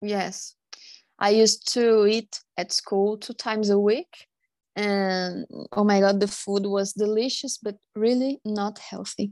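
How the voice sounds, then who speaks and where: A woman speaks at a very slow pace with a medium pitch and fairly even intonation. The sound is dry and close with no echo, in a very clean recording with a silent background. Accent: Portuguese. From Brazil. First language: Portuguese. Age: 20s. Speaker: podcast guest. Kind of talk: casual interview.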